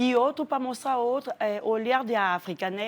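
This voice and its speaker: With a French accent, a woman speaks at a moderate pace and with ordinary pitch variation. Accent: French accent in Portuguese, still noticeable. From Democratic Republic of the Congo. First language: French (speaking Portuguese). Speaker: actress and refugee. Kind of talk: TV interview.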